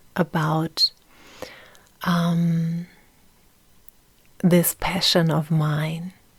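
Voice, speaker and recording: A very slow delivery in a German accent. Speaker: podcast host. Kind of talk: personal monologue. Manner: halting.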